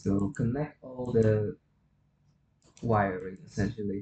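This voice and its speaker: The man speaks at a very slow pace, his voice medium in pitch. It is somewhat breathy, with ordinary pitch variation. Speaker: hobbyist 3D rigger. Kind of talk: software tutorial narration. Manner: un-energized.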